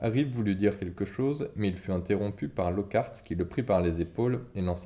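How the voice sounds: The pitch moves in an ordinary way through a natural reading voice.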